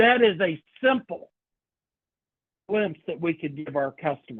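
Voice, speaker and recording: Speaking with a Kentucky accent, a man has a high voice. He goes at a fairly slow pace with very wide pitch swings. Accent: Kentucky Southern US. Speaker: senior living sales trainer. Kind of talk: training workshop lecture. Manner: informal, conversational.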